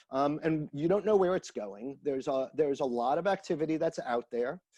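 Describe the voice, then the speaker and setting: Against a quiet background, lively intonation comes through at a moderate pace in a dry, close sound with no echo. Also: man. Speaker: institute director, social cohesion specialist. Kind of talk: interview. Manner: halting, repeats words.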